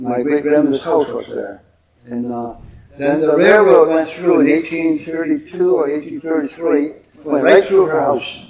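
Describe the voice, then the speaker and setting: This man speaks with a Canadian accent. His pitch varies in an ordinary way. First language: Mohawk. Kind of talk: public talk. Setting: museum stage with audience.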